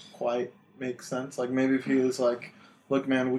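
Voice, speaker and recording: Noticeable background noise sits behind a man speaking at a moderate pace with a medium pitch. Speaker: podcast host. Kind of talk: casual chat.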